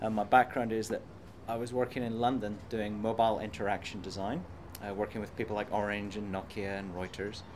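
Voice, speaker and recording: Fairly quick, monotone, flat intonation from a man with a fairly low pitch, audible room echo. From Ireland. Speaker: computer science professor. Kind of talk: interview. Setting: conference.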